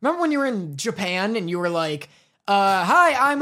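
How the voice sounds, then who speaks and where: A man speaks in a raised, projected voice at a fairly quick pace. His tone is bright and sharp, and his pitch swings very widely. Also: very clean recording, silent background. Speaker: anime podcast co-host. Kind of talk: casual chat.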